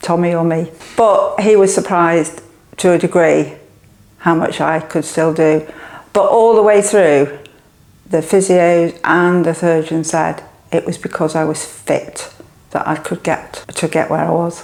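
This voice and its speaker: A woman's fairly low voice with an English accent, fairly even intonation, and a fairly slow pace. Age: 70s. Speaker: gym client. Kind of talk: testimony.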